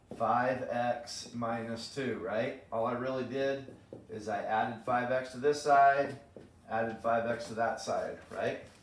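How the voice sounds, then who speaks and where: A man of medium pitch talks at a fairly slow pace amid noticeable background noise and audible room echo. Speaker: math teacher. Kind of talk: lecture. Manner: animated.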